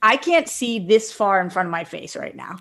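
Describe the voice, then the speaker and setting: A woman talks in a normal speaking voice at a fairly high pitch and a moderate pace. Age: 20s. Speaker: podcast co-host. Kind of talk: casual chat.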